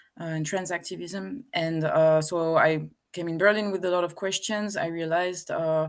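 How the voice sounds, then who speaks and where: A woman with a French accent, moderate pace, hardly any pauses and fairly even intonation. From France. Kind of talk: interview. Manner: hesitant, many fillers.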